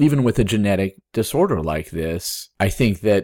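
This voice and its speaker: With a plain, everyday voice, a man speaks at a moderate pace in a fairly low pitch and lively intonation, on a very clean recording with a silent background. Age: 30s. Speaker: podcast co-host with chronic kidney disease. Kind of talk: casual chat.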